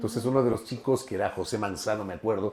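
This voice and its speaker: A man speaks over noticeable background noise. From Ecuador, Ambato (Andean highlands), part childhood in Guayaquil. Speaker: journalist. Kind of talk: podcast interview. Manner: animated.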